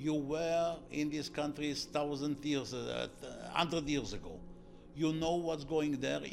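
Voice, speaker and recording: A man's fairly high, monotone, flat voice at a fairly slow pace, with audible room echo. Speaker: security academy founder. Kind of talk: interview. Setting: at his home.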